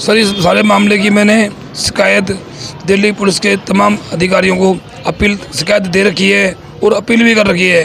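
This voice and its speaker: A man talks in a high pitch with monotone, flat intonation over noticeable background noise. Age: 60s. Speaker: complainant interviewed by news reporter. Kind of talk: news interview testimony. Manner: halting, repeating words.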